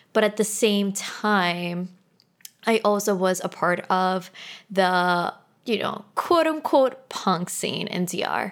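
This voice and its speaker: Talking at a very slow pace, a woman uses a medium pitch with ordinary pitch variation. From Dominican Republic, Santo Domingo. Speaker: podcast host. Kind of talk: solo podcast intro. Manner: casual and chatty.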